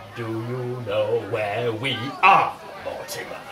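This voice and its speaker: Using a put-on character voice, a man speaks at a fairly slow pace. Clear background noise and a slight echo can be heard. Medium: audio drama. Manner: exaggerated, theatrical.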